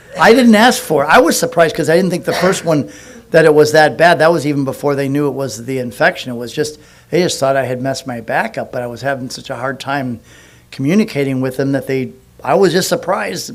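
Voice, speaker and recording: A very fast, fairly high male voice with lively intonation and audible room echo. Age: 60s. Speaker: pastor. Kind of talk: sermon. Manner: halting.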